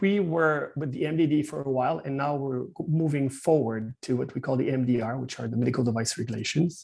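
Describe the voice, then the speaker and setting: A man speaks in a Quebec accent. His pitch is fairly high. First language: French. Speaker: medical device consultant and company founder. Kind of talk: webinar presentation. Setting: video call. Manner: halting, many fillers.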